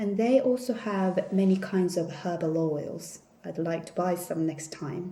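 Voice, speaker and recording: A woman speaks at a fairly slow pace in a fairly low pitch, with ordinary pitch variation. Noticeable background noise runs under her voice. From South Korea. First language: Korean. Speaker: vlogger. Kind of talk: casual haul vlog. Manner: hesitant with fillers.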